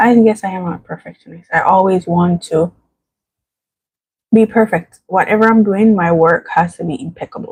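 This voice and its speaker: A soft-spoken woman talks at a moderate pace in a medium pitch, somewhat breathy, with ordinary pitch variation. Her loudness varies widely. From Jamaica. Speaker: vlogger. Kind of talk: casual livestream chat. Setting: at home.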